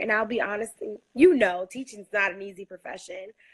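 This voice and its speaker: A woman with a plain, everyday voice speaks with an American accent. Her pitch is fairly high and her pace moderate. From US Northeast, Brooklyn New York. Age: 20s. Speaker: high school teacher. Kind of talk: interview conversation.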